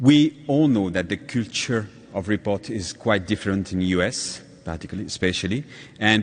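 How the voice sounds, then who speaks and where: A man with a French accent and lively intonation. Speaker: patient advocate. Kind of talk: conference talk. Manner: halting.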